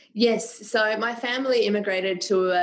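A woman with fairly even intonation against noticeable background noise. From Serbia. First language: Serbian. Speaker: public speaking coach and performer. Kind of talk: interview conversation.

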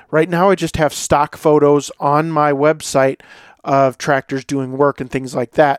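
A man with a normal speaking voice, fairly high in pitch, talks at a moderate pace with fairly even intonation, in a very clean recording with a silent background and a dry, close sound with no echo. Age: 40s. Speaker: podcast host and lawn care business owner. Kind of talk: casual solo monologue.

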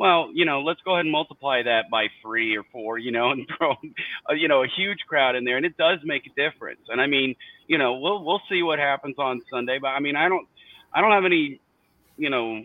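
At a fairly quick pace, a man with an American accent speaks in a fairly high pitch. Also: ordinary pitch variation. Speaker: sports fan guest. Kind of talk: casual chat. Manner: animated.

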